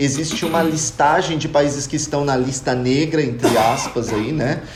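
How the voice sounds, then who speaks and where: A man speaks fairly slowly while noticeable background noise and audible room echo fill the recording. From Brazil. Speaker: podcast panelist. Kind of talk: casual chat.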